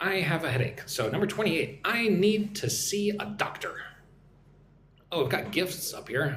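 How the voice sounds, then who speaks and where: Over noticeable background noise and audible room echo, a man with an American accent speaks at a moderate pace. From Texas. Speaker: English teacher. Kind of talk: live stream chat. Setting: live stream.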